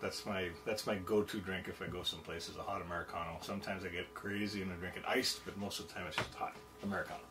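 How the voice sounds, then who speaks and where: The voice races at a very fast pace with hardly any pauses and fairly even intonation. Clear music plays in the background. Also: man, fairly low pitch for a man. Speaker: co-host. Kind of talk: casual vlog chat. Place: kitchen.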